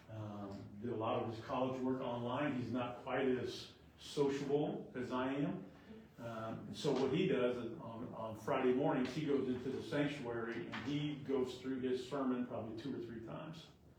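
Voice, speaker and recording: A man speaks at a medium pitch and moderate pace with fairly even intonation. Audible room echo and noticeable background noise come through. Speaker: Bible study teacher, former pastor. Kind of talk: Bible study class discussion. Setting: classroom group, also streamed to home viewers.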